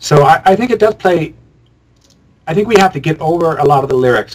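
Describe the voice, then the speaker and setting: A man speaks at a moderate pace, his intonation lively throughout. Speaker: musician and filmmaker. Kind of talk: interview conversation. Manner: loud.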